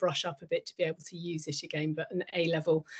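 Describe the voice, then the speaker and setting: In a Lincolnshire accent, a woman talks at a very fast pace with flat, monotone intonation. The sound is dry and close, with no echo. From northern England, northeast Lincolnshire. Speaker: businesswoman, career role model. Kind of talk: panel talk to students.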